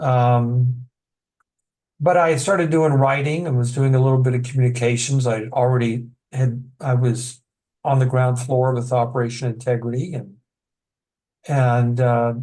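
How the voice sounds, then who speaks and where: A somewhat breathy, dark, mellow voice speaks with an American accent at a moderate pace. Long, frequent pauses break up the speech. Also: man, medium pitch for a man, fairly even intonation. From Texas. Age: 60s. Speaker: author and addiction counselor. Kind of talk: interview. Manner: halting.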